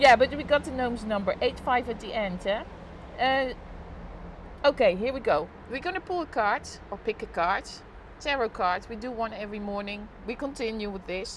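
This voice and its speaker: Lively intonation with a Dutch accent, a moderate pace, and big swings in loudness. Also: woman, fairly high pitch for a woman. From Netherlands. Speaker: live streamer. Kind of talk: casual chat. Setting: live stream on balcony.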